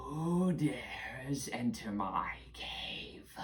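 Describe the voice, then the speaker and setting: Using a put-on character voice, a man sounds raspy at a fairly high pitch. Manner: menacing, challenging.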